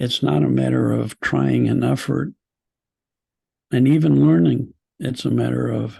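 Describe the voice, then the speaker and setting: A man's very deep, low voice, dark and mellow in tone, with vocal fry, fairly even intonation and a fairly slow pace. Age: 70s. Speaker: psychologist and spiritual teacher. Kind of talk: webinar talk answering questions. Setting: video call.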